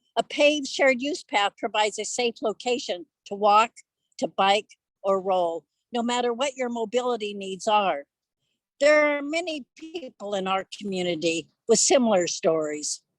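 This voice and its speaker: A woman speaks at a moderate pace in a fairly high voice, her pitch swinging very widely, with a dry, close sound and no echo. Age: 70s. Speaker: trails coalition vice chair. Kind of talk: prepared remarks. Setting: video call, outdoors on a trail.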